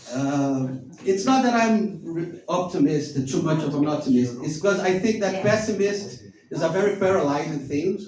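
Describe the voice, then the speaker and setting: Over noticeable background noise and audible room echo, a man with a non-native accent speaks at a fairly slow pace with very wide pitch swings. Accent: foreign. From Brazil. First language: Portuguese. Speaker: stand-up comedian. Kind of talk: stand-up. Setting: stage with audience in a bar.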